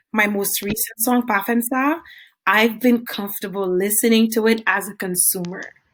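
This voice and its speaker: A somewhat breathy voice speaks at a moderate pace with fairly even intonation. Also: woman, fairly high pitch for a woman. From Haiti. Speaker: singer. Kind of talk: interview.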